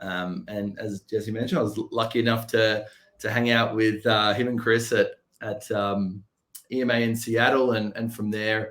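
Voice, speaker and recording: A man speaks at a moderate pace with an Australian accent. His intonation stays flat and monotone. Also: medium pitch for a man. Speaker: software company representative. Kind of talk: podcast interview.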